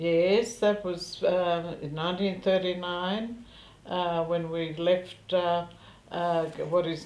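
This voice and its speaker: In a German accent, a woman speaks at a fairly low pitch with fairly even intonation, amid audible room echo. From Central Europe, ethnic German. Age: 70s. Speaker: war refugee interviewee. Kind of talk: interview testimony. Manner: halting, many fillers.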